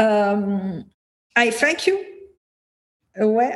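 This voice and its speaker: A woman's medium-pitched voice with a French accent. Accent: French-accented English, noticeable. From Milan, Italy. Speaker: marketing consultant, former architect. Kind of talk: interview, conversational. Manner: halting, hesitant with fillers.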